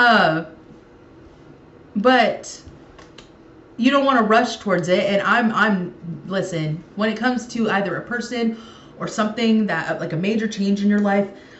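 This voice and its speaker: In a room with audible echo, a woman of medium pitch talks at a moderate pace with ordinary pitch variation and long, frequent pauses. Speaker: tarot reader. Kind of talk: tarot reading to camera. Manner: halting, many fillers.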